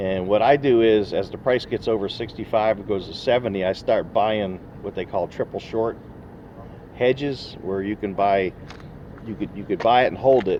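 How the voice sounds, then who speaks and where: Speech moves at a moderate pace with fairly even intonation. Noticeable background noise is present. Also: man, fairly low pitch for a man. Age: 60s. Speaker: retired oilfield worker giving investment advice. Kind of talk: casual interview chat. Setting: recorded on a phone.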